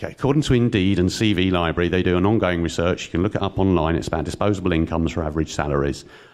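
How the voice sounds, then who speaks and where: A man at a very fast pace with hardly any pauses, very deep and low in pitch, with ordinary pitch variation. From London. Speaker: panelist promoting regional tech economy. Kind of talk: conference panel talk.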